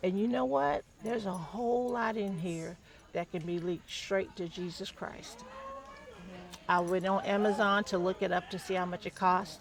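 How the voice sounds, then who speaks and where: Over noticeable background noise, a woman speaks with a Southern accent and ordinary pitch variation. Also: medium pitch for a woman, moderate pace. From US South. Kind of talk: casual chat.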